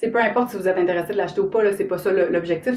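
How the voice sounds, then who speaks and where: A woman's voice with noticeable background noise. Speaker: author and somatic coach. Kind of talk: live stream talk to viewers. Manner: animated, informal.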